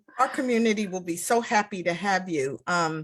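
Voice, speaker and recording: Her pitch at a medium level with ordinary pitch variation, a woman with an unremarkable speaking voice talks at a fairly slow pace. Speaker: retreat founder and host. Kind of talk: casual live interview host.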